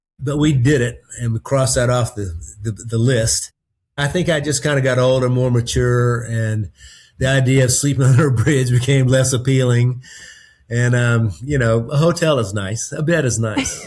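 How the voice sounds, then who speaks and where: Speaking with a Southern US accent, a man with a medium pitch and a somewhat breathy voice talks at a moderate pace. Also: ordinary pitch variation. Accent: Southern US accent, retained. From North Carolina. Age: 60s. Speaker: podcast guest. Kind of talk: casual chat. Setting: video call. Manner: relaxed, filler-heavy.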